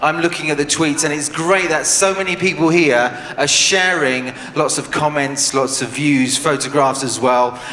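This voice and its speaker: Noticeable background noise sits behind a man with a British accent and a fairly high pitch. He keeps a moderate pace with ordinary pitch variation. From Britain. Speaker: event host. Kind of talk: event presenting.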